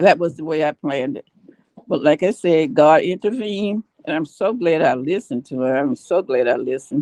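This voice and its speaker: An American-accented woman talks at a fairly quick pace in a dark, mellow tone with a fairly low pitch and very wide pitch swings. The sound is dry and close, with no echo. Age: 70s. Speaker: author sharing life story. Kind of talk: testimony.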